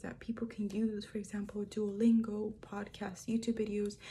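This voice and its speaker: A woman speaks at a fairly high pitch with a dark, mellow tone. Her voice is somewhat breathy. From moved to the US from a Spanish-speaking country at age five. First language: Spanish. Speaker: student. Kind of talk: persuasive speech. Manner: hesitant, with frequent fillers.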